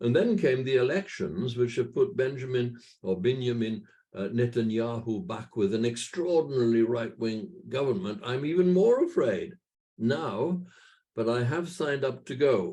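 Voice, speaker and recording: A man speaks with a Welsh accent in a dark, mellow, somewhat breathy tone. His pace is moderate and his intonation lively. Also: medium pitch for a man. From Wales. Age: 80s+. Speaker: church patron and minister. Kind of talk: talk to a virtual meeting. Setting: video call. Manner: halting.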